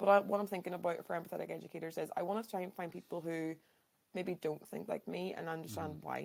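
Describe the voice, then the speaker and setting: A woman with a Northern Irish accent, fairly low in pitch with ordinary pitch variation and vocal fry, at a very fast pace. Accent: Derry Northern Irish. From Northern Ireland, Derry. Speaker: educator, podcast host. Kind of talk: casual interview chat.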